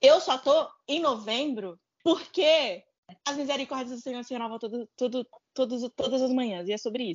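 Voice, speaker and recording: The voice moves at a moderate pace with ordinary pitch variation. Its loudness swings widely. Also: woman, high pitch for a woman. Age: 20s. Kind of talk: casual chat.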